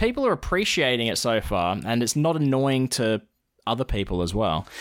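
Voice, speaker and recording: Using a medium pitch, a man talks at a moderate pace with very wide pitch swings. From Australia. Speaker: podcast co-host. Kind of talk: casual chat.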